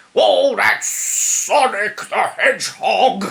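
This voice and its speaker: A high-pitched, put-on character voice unfolds at a very slow pace. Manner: goofy, cartoonish.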